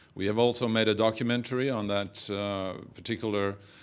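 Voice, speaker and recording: With a Norwegian accent, a man talks at a moderate pace in a fairly low pitch with ordinary pitch variation. Audible room echo surrounds his voice. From Norway. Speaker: film producer. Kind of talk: press conference speech. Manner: halting, many fillers.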